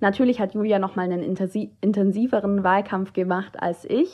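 A woman at a medium pitch with a plain, everyday voice and a moderate pace. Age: 20s. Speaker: student teacher and political candidate. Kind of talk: interview.

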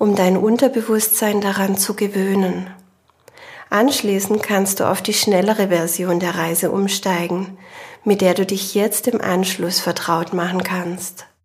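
In a calm, soothing tone, a woman speaks fairly slowly at medium pitch with monotone, flat intonation. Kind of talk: guided meditation. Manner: slow, calm, soothing, with long pauses; gentle, soft-spoken, addressing listener as "du".

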